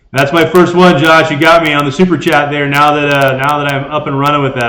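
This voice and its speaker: A man's fairly high, bright, sharp voice at a fairly quick pace, with audible room echo. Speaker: ham radio youtuber. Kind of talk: live stream chat. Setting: garage. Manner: loud.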